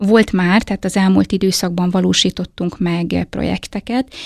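A woman with a plain, everyday voice talks at a moderate pace, her medium pitch held in fairly even intonation. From eastern Hungary, Hajdúdorog. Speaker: head of a family and child welfare centre. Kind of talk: interview.

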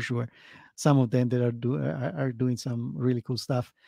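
A man with an Italian accent speaks in a dark, mellow tone, and the sound is dry and close with no echo. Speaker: crypto project team member. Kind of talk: interview.

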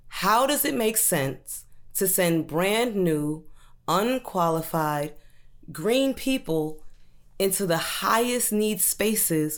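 With an American accent, a woman speaks very slowly, her pitch swinging very widely while her loudness stays very even. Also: medium pitch for a woman. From US Northeast, Brooklyn, New York. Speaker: teacher. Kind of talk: personal testimony. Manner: animated.

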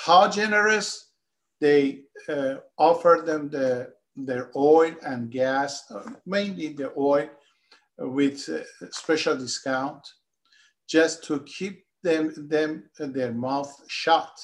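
A man's fairly high voice at a very slow pace, with ordinary pitch variation and long, frequent pauses. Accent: Persian. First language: Persian. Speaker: economist and political activist. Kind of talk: political interview discussion. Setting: remote video call.

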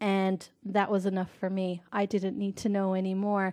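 A woman with a Newfoundland accent at a moderate pace, in a very clean recording with a silent background and a dry, close sound with no echo. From Newfoundland, Canada. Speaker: podcast co-host, medium. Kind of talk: casual chat.

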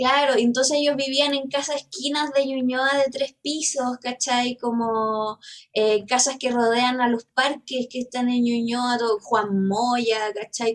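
A woman with a Chilean accent speaks at a fairly slow pace in a high pitch, her intonation fairly even. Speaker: teacher. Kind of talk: casual chat.

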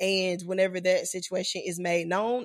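The delivery is animated and playful, in a strong Southern US accent. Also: woman. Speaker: podcast host and ministry leader. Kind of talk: casual chat about faith. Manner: animated, playful.

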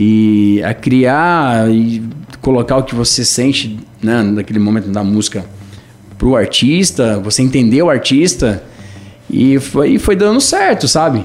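Amid noticeable background noise, a man with a medium pitch speaks at a fairly slow pace with lively intonation. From Brazil, São Paulo north coast (Caraguatatuba). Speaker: musician. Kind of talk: radio interview.

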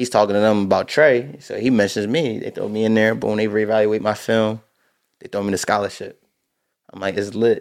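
A man with an American accent and a fairly low pitch talks at a fairly quick pace. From New Jersey. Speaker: high school football coach. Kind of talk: casual chat. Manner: animated.

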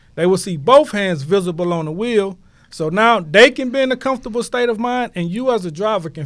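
In a very clean recording with a silent background, a man with an American accent speaks at a fairly quick pace with very wide pitch swings. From Houston, Texas. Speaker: entrepreneur, product founder. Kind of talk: podcast interview.

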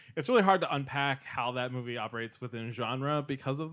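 An unremarkable speaking voice with fairly even intonation at a moderate pace. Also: man. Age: 30s. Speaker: film critic. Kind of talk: casual chat.

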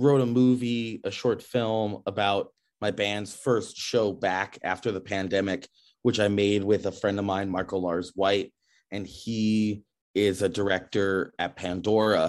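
The speaker talks at a fairly slow pace with ordinary pitch variation. The background is quiet. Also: man. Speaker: singer and musician. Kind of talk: casual interview.

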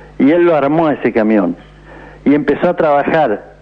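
Noticeable background noise accompanies this man as he talks. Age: 80s+. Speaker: retired truck driver. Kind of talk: radio call-in. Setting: phone call.

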